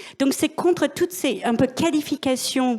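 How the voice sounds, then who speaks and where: A woman speaks at a fairly slow pace. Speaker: business executive. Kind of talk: panel discussion.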